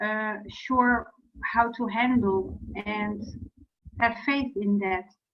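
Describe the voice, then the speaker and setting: A woman with a non-native accent speaks very slowly in a fairly high voice, her intonation fairly even. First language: not English. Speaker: client. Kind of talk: therapy session. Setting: video call. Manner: halting.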